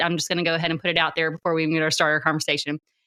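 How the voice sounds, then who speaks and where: This woman has a strong Southern US accent and a bright, sharp tone. The sound is dry and close, with no echo. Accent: strong Southern US country. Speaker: podcast host. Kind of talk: interview conversation.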